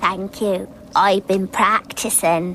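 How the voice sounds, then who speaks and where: A put-on character voice, female-sounding and medium in pitch for a woman, over clear background noise. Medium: short film.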